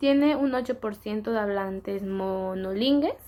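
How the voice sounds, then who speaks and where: At a very slow pace, a woman speaks at a medium pitch with ordinary pitch variation in a very clean recording with a silent background. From Yucatán, Mexico. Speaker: student presenter. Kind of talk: class presentation. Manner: halting, self-correcting.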